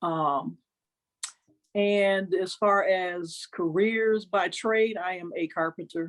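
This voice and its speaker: A woman's medium-pitched voice, very slow, with fairly even intonation. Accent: Arkansas. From Milwaukee, Wisconsin, US Midwest. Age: 50s. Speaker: interview guest, carpenter. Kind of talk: casual chat.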